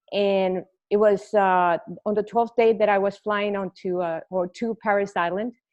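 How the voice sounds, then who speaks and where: Over a quiet background, a woman with a Spanish accent speaks at a fairly slow pace, using a medium pitch and fairly even intonation. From Mexico. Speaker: retired Marine. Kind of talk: interview.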